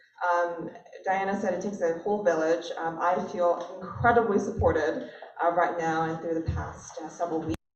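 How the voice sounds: With strong room echo, a woman speaks at a fairly low pitch and moderate pace, using ordinary pitch variation.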